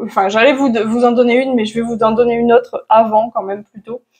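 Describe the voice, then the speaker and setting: A woman's fairly high-pitched voice. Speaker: manifestation coach. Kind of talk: casual to-camera advice talk. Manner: hesitant, many fillers.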